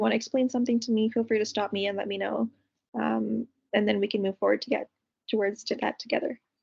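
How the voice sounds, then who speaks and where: In a dry, close sound with no echo, a woman talks at a very fast pace, somewhat breathy and fairly high-pitched, with ordinary pitch variation. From Canada. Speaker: counseling graduate student. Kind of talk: mock counseling session.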